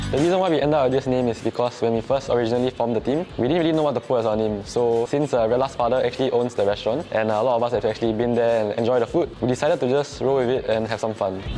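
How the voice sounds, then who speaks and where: A man talks at a very fast pace with hardly any pauses, medium pitch and ordinary pitch variation. His loudness stays very even, with music in the background. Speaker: esports player. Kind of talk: team introduction video.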